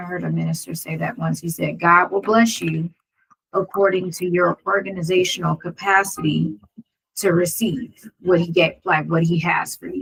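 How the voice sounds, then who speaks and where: A woman with an American accent speaks at a fairly low pitch. Her voice is somewhat breathy. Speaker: lawyer and video creator. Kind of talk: casual monologue.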